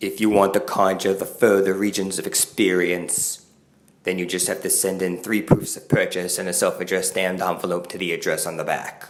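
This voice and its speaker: A cartoonish character voice from a man, very deep and low in pitch, at a fairly quick pace. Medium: puppet show. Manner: solemn.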